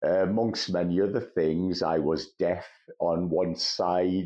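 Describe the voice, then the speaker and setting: Very slowly, a man speaks with a very deep, low pitch and fairly even intonation. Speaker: mental health vlogger. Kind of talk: personal testimony.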